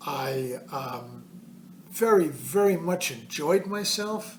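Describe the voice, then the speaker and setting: A man's voice carries ordinary pitch variation while noticeable background noise runs underneath. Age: 70s. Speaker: hiker. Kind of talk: casual talk to camera.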